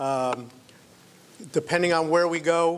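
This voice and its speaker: The speaker is a man with a fairly high voice. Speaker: entrepreneur. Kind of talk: business pitch presentation. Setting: event venue with live audience, live stream. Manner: loud.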